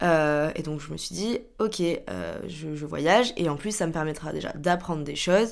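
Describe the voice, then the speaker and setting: A woman with a normal speaking voice, fairly low in pitch, ordinary pitch variation, and a fairly slow pace. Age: 20s. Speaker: podcaster. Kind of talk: casual monologue.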